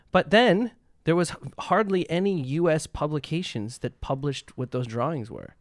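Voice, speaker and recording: With a Canadian accent, a man talks in an ordinary speaking voice at a moderate pace. His pitch is fairly high, and his intonation is lively. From Canada. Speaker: composer and pianist. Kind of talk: casual chat.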